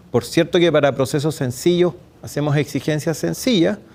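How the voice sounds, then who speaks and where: This man's pitch is fairly high. He has a Chilean accent. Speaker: public procurement expert, speaker. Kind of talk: lecture at a workshop. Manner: fast.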